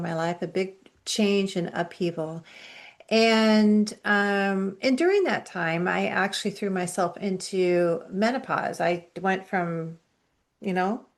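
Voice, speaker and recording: A woman's ordinary speaking voice at medium pitch, fairly slow, with ordinary pitch variation, over a quiet background. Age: 60s. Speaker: functional medicine practitioner, dietitian. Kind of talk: interview.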